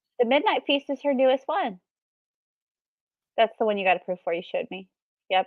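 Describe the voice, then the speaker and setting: A woman shouts loudly in a high, animated voice with very wide pitch swings. She talks very fast yet leaves long, frequent pauses. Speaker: book youtuber co-hosting reading sprint. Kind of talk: casual chat. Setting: live stream wearing noise canceling headphones. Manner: loud, yelling.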